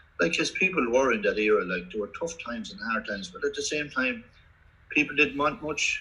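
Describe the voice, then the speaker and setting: A man speaks at a fairly quick pace with a Kildare Irish accent. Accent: Kildare Irish accent, fairly strong. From Ireland, County Kildare. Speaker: former Gaelic football player. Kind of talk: interview. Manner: halting, many repetitions and fillers.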